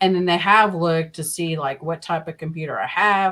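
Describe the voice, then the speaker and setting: A woman speaks with a Southern US accent. Her pitch is fairly low and her intonation fairly even. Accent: Southern US accent in her normal voice. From Oklahoma. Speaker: podcast co-host and scambaiter. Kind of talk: casual chat.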